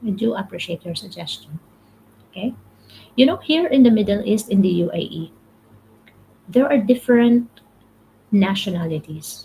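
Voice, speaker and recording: In a Filipino accent, a somewhat breathy voice moves at a moderate pace with lively intonation and long, frequent pauses. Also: woman. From Philippines. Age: 30s. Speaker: motivational livestreamer. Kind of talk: live stream talk, reading comments. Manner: repetitive, halting.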